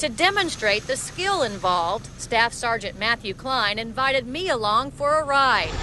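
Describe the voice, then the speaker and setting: Very wide pitch swings at a moderate pace, with hardly any pauses, very even loudness and noticeable background noise. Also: woman, high pitch for a woman. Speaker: TV news reporter. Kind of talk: live TV news report.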